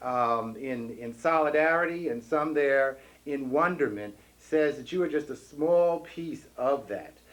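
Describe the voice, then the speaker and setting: Using a normal speaking voice, a man talks at a fairly slow pace with lively intonation and a fairly high pitch. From New York City. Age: 40s. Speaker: activist and parade grand marshal. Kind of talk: speech at a commemoration event.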